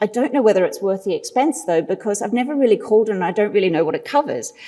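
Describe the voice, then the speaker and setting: A woman talks at a very fast pace with an Australian accent. Noticeable background noise runs under her voice. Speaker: marketing consultant, conference speaker. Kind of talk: conference presentation.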